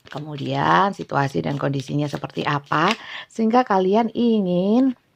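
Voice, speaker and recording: Her pitch is very deep and low for a woman, and it swings very widely. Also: moderate pace. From Java, Indonesia. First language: Javanese (speaking Indonesian). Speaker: tarot reader. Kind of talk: tarot reading livestream. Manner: casual, laughs often; halting with fillers.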